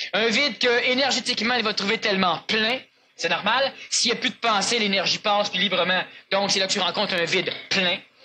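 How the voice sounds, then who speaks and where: Noticeable background noise sits behind a man's raised, projected voice at high pitch. He goes at a fairly quick pace with very even loudness. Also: ordinary pitch variation. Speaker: spiritual lecturer. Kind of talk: lecture with audience Q&A. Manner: fast.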